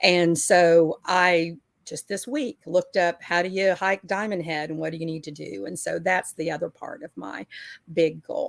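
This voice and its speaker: In an American accent, a woman with an unremarkable speaking voice talks at a fairly low pitch and moderate pace, with ordinary pitch variation and big swings in loudness, in a dry, close sound with no echo. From Texas, Houston. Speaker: weight-loss community member. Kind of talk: casual group chat.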